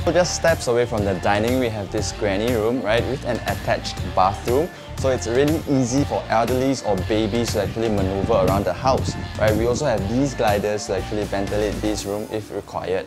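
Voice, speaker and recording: Clear music plays in the background. The speech moves at a fairly quick pace with ordinary pitch variation. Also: man. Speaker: property tour host. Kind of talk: property walkthrough presentation. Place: home room.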